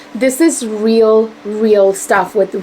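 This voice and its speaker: A woman talks with fairly even intonation over noticeable background noise. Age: 40s. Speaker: beauty vlogger. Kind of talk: casual product review.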